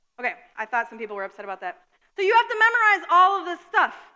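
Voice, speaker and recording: A woman speaks very fast in a raised, projected voice. Her tone is bright and sharp. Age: 30s. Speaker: pastor. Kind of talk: sermon. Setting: church.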